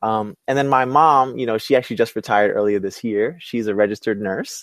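Heard in a very clean recording with a silent background, a man with an American accent and a plain, everyday voice speaks in a fairly low pitch with ordinary pitch variation. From Brooklyn, New York. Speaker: entrepreneur and inclusive leadership specialist. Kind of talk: interview. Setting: webcast.

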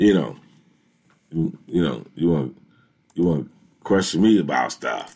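With an American accent, a man speaks at a fairly slow pace in a very deep, low pitch and a dark, mellow tone, with lively intonation and long, frequent pauses. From Ohio, Elyria near Cleveland. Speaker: sports talk radio host. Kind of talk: casual sports talk show. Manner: animated.

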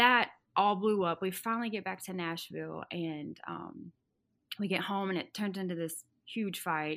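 A woman with a Southern US accent speaks at a moderate pace and medium pitch with ordinary pitch variation, on a very clean recording with a silent background. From Arkansas. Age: 20s. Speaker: guest sharing story. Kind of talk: personal storytelling in interview.

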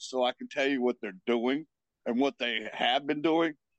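A man with a fairly high pitch has an ordinary speaking voice, talking at a moderate pace with fairly even intonation. The sound is dry and close, with no echo. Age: 50s. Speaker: paranormal investigator and medium. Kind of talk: casual chat.

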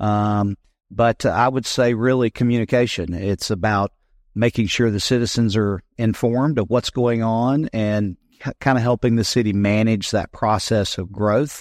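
A man talks with an American accent at a medium pitch. His intonation is fairly even and his pace moderate. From US South (South Carolina). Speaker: city council candidate, war veteran. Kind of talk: interview.

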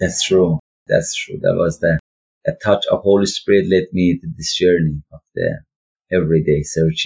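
This man speaks with an Iranian accent, and the sound is dry and close with no echo. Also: moderate pace. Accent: Iranian (Persian) accent in English. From northwest Iran. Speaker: ministry founder, refugee worker. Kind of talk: testimony. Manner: halting, frequent fillers.

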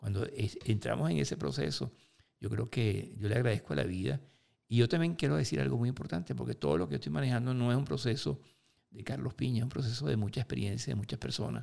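Speaking very fast, a man uses a fairly low pitch with vocal fry. His pitch swings very widely. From Venezuela, Lara state. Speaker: motivational speaker. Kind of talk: interview.

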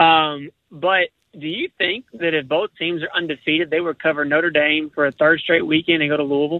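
A man with an unremarkable speaking voice talks at a fairly quick pace, pitched fairly high, with fairly even intonation. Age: 20s. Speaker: sports radio caller. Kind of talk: casual chat. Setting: phone call.

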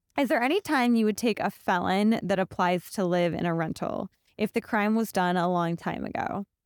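A woman's unremarkable speaking voice, medium in pitch, with an American accent at a moderate pace, recorded very clean with a silent background and a dry, close sound with no echo. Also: very even loudness. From Ohio, US Midwest (Akron). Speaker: real estate podcast co-host. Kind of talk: reading listener questions; casual chat.

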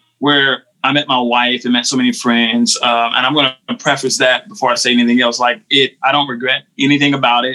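A man with a normal speaking voice and an American accent, medium pitch, fairly even intonation, a fairly quick pace and hardly any pauses. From North Carolina, US South. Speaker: worship pastor. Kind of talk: casual chat.

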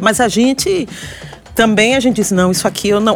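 A woman speaks in a Bahian accent against noticeable background noise. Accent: Bahian accent, kept deliberately. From Salvador, Bahia, Brazil. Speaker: historian and university professor. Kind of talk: interview conversation. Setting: podcast recording on location.

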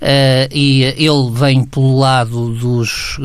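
There is noticeable background noise. Through it, a man speaks in a fairly high voice. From Portugal, Aveiro. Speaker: sociologist, resident commentator. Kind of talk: radio commentary discussion. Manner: halting, many fillers.

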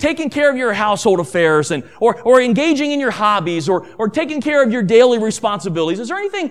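A passage read aloud, the voice natural

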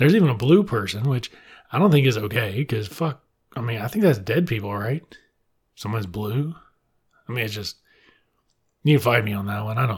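A man speaks at a fairly quick pace and medium pitch, somewhat breathy, with lively intonation and long, frequent pauses. The recording is very clean with a silent background. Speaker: librarian podcast host reviewing books. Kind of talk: solo book review monologue. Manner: animated.

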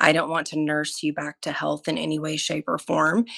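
A woman with an American accent has a very deep, low pitch and vocal fry. She talks at a fairly quick pace in a dry, close sound with no echo. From Oklahoma, small town. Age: 40s. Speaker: ER nurse and military veteran. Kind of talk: casual interview chat.

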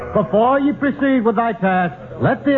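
Noticeable background noise runs behind a man talking at a moderate pace. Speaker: villain in a radio drama. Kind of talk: archaic, preacher-like speech with thee and thou. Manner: pompous, sanctimonious oratory.

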